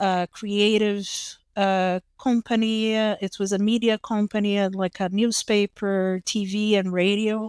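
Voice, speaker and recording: Over a silent background in a very clean, dry, close recording with no echo, a voice with a Brazilian accent moves at a fairly slow pace, with very even loudness and monotone, flat intonation. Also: woman, medium pitch for a woman. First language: Portuguese. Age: young. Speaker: psychologist. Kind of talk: interview testimony. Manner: halting, many fillers and repetitions.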